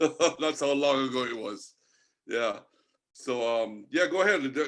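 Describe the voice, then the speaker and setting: Against a quiet background, a man with a Jamaican accent talks at a fairly slow pace in a fairly high pitch. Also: ordinary pitch variation. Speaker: marine artist and angler. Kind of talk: podcast interview. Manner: casual, chatty with fillers.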